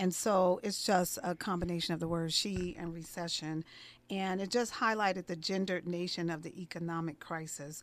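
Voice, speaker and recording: A woman with an American accent speaks at a moderate pace in an unremarkable speaking voice. Her pitch is fairly low, with ordinary pitch variation. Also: very clean recording, silent background. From US Northeast, East Orange, New Jersey. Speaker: HR consultant. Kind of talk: radio interview. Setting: radio studio.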